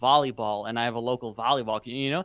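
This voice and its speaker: This man speaks with a Dutch accent. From Netherlands. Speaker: productivity YouTuber and course creator. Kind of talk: podcast interview.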